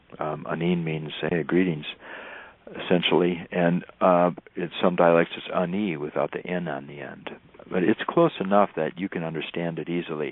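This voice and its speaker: A man speaks at a moderate pace in a very deep, low voice, his intonation flat and monotone while his loudness swings widely. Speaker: wilderness teacher and tracker. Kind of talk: radio interview.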